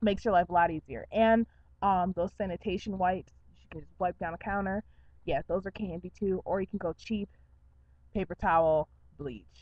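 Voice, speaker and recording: A woman at medium pitch speaks with ordinary pitch variation, big swings in loudness, and long, frequent pauses. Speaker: vlogger. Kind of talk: casual vlog talk to webcam. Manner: fast.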